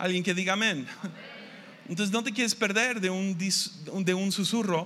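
A man projects his high-pitched voice with a bright, sharp tone. He speaks fairly slowly, and room echo is audible. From Mexico, Tepic, Nayarit. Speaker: pastor. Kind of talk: sermon. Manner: halting.

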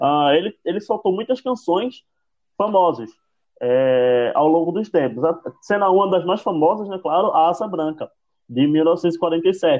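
A man with a high voice talks fairly slowly, his intonation lively. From Brazil, Northeast. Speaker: podcast co-host. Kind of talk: casual chat. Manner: halting.

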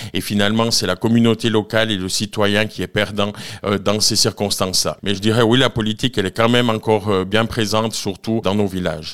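The man talks in a flat, monotone way. His pitch is fairly low. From Switzerland, Valais (Nendaz). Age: 40s. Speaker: cantonal politician. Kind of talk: radio interview. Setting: live radio from a bar venue.

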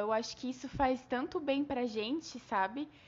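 A woman's high-pitched voice. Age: 20s. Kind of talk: casual chat on faith.

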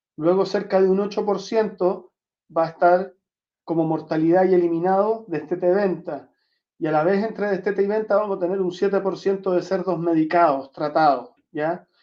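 A man's high voice with fairly even intonation. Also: moderate pace. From Chile (Santiago and southern Chile). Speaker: veterinarian. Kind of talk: lecture. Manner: frequent fillers.

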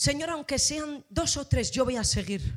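In a very clean recording with a silent background, a woman talks at a fairly slow pace with an animated tone and lively intonation. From Spain, Asturias (Gijón). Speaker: pastor. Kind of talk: sermon.

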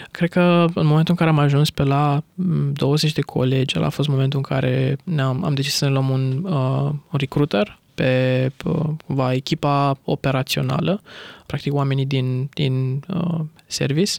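In a dry, close recording with no echo, a man with a fairly high pitch talks at a fairly slow pace with fairly even intonation. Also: very even loudness. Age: 20s. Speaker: entrepreneur. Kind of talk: interview. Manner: hesitant.

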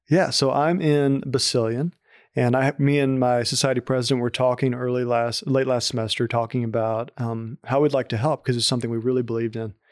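A man with a Southern US accent speaks at a fairly quick pace, medium in pitch and fairly even in intonation. The sound is dry and close with no echo, on a very clean recording with a silent background. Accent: Southern American. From Arkansas, US South. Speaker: university student. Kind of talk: interview. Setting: office.

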